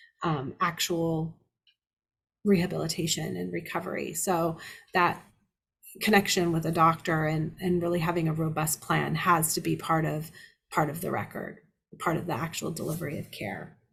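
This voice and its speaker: A woman's fairly low voice with vocal fry, fairly even intonation, and long, frequent pauses. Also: very clean recording, silent background. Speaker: elder abuse litigation lawyer. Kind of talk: lecture. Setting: seminar presentation. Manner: fast.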